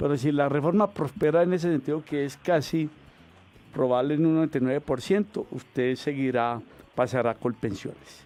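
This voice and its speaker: The man's voice has a dark, mellow tone and a fairly high pitch. He speaks at a moderate pace with ordinary pitch variation. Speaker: pension lawyer answering radio call-ins. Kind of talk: radio call-in advice.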